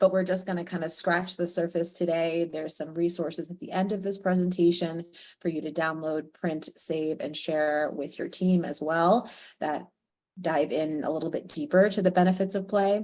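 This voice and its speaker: At a moderate pace, a woman talks in a fairly low pitch with fairly even intonation. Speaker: early childhood educator and workshop presenter. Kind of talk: guided visualization; webinar presentation. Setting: video call webinar.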